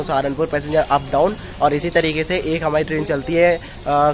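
A man with a high pitch, moderate pace and monotone, flat intonation over faint background music. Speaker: train travel vlogger. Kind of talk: casual vlog chat. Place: station. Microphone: phone near.

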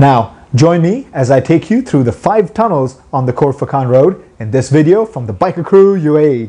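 This man speaks at a moderate pace with hardly any pauses. His intonation is lively. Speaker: motorcycle club vlogger. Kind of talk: casual vlog intro. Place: home room. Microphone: lapel.

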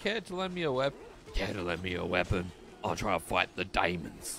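A man talks in a raspy, put-on character voice at a fairly slow pace. Background noise is clearly audible.

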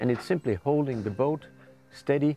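With a dark, mellow tone and ordinary pitch variation, a man speaks in a dry sound with no echo. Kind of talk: interview answer. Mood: enthusiastic, relaxed. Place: boat. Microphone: lapel.

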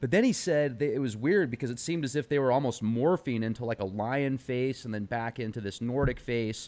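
At a fairly quick pace, a man of medium pitch speaks in an ordinary speaking voice with ordinary pitch variation. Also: hardly any pauses. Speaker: podcast host. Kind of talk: interview. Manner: casual, laughs often.

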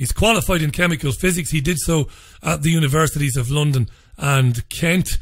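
This man's fairly high, somewhat breathy voice moves fairly quickly and shows ordinary pitch variation. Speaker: radio host. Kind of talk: radio show introduction. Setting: studio.

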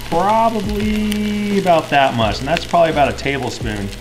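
A man's voice over clear music in the background. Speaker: home cook host. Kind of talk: tutorial. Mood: relaxed, friendly. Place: kitchen. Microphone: camera far.

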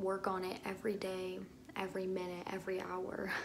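A woman talks at a moderate speed while noticeable noise runs in the background. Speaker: vlogger. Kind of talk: casual vlog chat. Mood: earnest, personal, somewhat emotional. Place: bathroom. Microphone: phone near.

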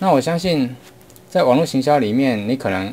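Lively intonation from a man. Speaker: online marketing teacher. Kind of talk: lecture. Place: home room.

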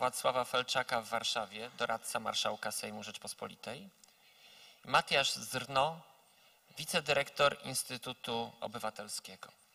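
A man speaks at a fairly quick pace in a bright, sharp tone with ordinary pitch variation. The background is quiet. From Poland. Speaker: conference moderator. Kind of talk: formal moderation. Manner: formal. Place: hall. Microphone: handheld.

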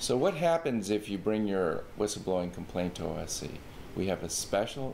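Moderate-paced man with a fairly low pitch over light background noise. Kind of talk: informational explainer. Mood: calm, formal. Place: office.

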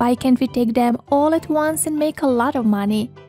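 The speaker has an American accent and lively intonation, talking at a fairly slow pace. Faint music plays in the background, and the sound is dry with no echo. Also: woman. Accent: Serbian speaker with American-leaning English. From Serbia. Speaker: voice-over artist. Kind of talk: children's story narration. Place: studio.

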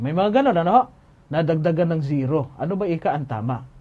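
A man talks at a fairly quick pace, his voice fairly high with a dark, mellow tone. His intonation is lively. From Philippines. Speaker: Bible teacher. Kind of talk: Bible Q&A livestream. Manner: formal. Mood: calm, earnest. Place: studio.

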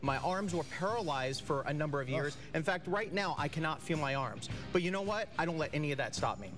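Clear music plays in the background as a man speaks at a fairly quick pace with hardly any pauses and ordinary pitch variation. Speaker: ring announcer and pro wrestling performer. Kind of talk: TV interview answer. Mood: earnest, upbeat resolve. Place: studio.

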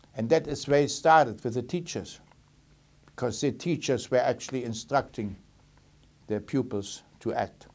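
A man with a German accent talks at a moderate pace with ordinary pitch variation and long, frequent pauses. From Germany, Berlin; Germany. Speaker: Holocaust survivor. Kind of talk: testimony. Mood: calm, reflective, serious. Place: studio.

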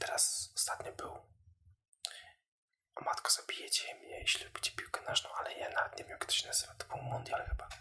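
A man whispers at a fairly quick pace. His words come out in hushed breaths. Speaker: social media video creator for the beauty industry. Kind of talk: casual ASMR-style talk to camera about marketing. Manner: soft, whispery, conversational.

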